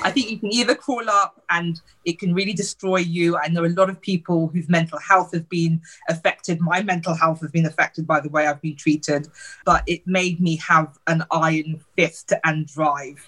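A woman with a British accent, fairly low pitch, fairly even intonation and moderate pace. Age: 40s. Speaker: beauty blogger and diversity advocate. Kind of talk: interview.

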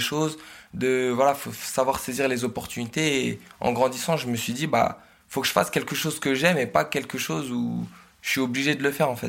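On a very clean recording with a silent background, a man speaks fairly quickly at a medium pitch with ordinary pitch variation. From northern France (Oise). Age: 20s. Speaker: social media content creator. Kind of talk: interview testimony. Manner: shy laugh; hesitant, many fillers.

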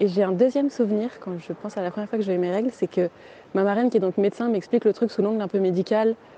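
This woman talks at a very fast pace with a medium pitch and a dark, mellow tone. Her intonation stays fairly even. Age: 30s. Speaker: interviewee sharing a personal story. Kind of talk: personal testimony.

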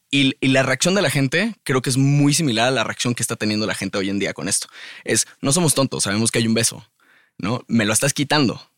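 Lively intonation carries a fairly quick pace. The sound is dry and close with no echo, in a very clean recording with a silent background. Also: man, medium pitch for a man. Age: 30s. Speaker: musician. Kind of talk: casual chat. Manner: halting.

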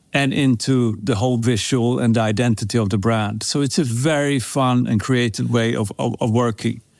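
A man speaks at a medium pitch and a fairly slow pace. His intonation stays fairly even. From Sweden. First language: Swedish. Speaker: perfume brand co-founder. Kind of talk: casual interview.

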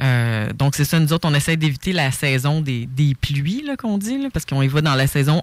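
With no echo, the dry, close recording carries speech delivered at a moderate pace. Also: woman. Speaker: author and survival instructor. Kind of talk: casual chat.

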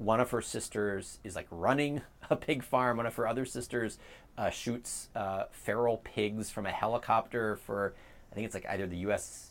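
With an American accent, a man speaks in a normal speaking voice at a moderate pace, medium in pitch and fairly even in intonation. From US, Baltimore. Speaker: think tank president and author. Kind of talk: interview on policy. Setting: outdoors on a front porch.

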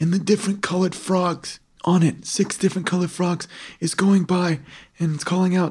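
A passage is simply read out, nothing more.

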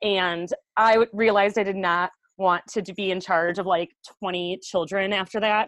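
The woman has an American accent and a medium pitch, speaking at a fairly slow pace. Her intonation is monotone and flat, and the sound is dry and close with no echo. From Wisconsin, US Midwest. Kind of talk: casual interview chat.

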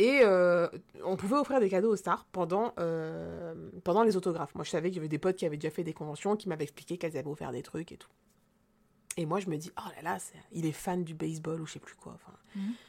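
A woman with a fairly low pitch talks at a very fast pace in an animated tone, her pitch varying in an ordinary way while her loudness swings widely. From rural central France. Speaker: podcast co-host. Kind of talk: casual chat.

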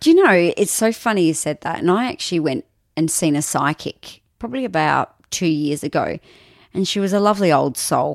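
Speaking in an Australian accent at a fairly quick pace, a woman has a fairly low pitch and lively intonation. The recording is very clean with a silent background, dry and close with no echo. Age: 30s. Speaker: radio announcer. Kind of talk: casual chat.

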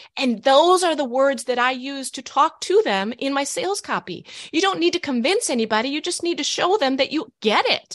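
High-pitched and full of very wide pitch swings, a woman's voice moves at a moderate pace. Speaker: author and business coach. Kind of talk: interview. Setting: video call.

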